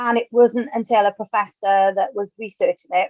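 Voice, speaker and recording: A woman speaks with a Welsh accent. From Wales. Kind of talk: webinar talk.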